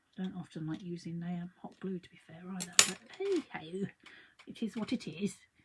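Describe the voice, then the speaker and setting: Over noticeable background noise, a woman speaks at a medium pitch and a moderate pace. Her intonation stays fairly even, but her loudness swings widely. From London. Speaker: craft artist. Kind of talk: live craft tutorial. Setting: livestream. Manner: chatty, rambling.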